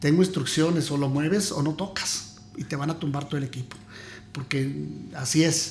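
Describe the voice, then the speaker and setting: This man has a normal speaking voice, pitched fairly high. He keeps a moderate pace with ordinary pitch variation. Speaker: former radio announcer. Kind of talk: interview answer, casual storytelling.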